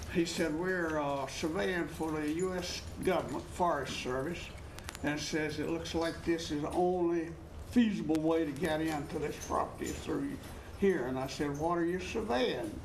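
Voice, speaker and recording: Over noticeable background noise and audible room echo, a man speaks at a fairly high pitch and moderate pace with ordinary pitch variation. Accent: Appalachian. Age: 80s+. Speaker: landowner. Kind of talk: testimony. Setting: studio. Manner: halting.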